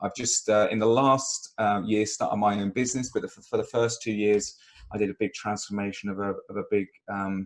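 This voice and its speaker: A man speaks with a British accent at a moderate pace, his fairly low pitch held in monotone, flat intonation. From UK. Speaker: recruitment consultant. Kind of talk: webinar interview. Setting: video call.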